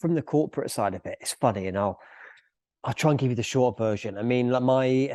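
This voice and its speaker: In a dry, close sound with no echo, a man with a dark, mellow tone speaks at a medium pitch and a moderate pace with lively intonation. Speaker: business owner and author. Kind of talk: podcast interview.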